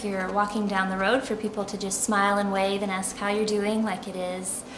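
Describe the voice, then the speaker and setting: A woman with an American accent speaks at a medium pitch. Audible room echo and noticeable background noise surround her voice. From US South, Charleston, South Carolina. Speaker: expat interviewee. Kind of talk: interview. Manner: hesitant, many fillers.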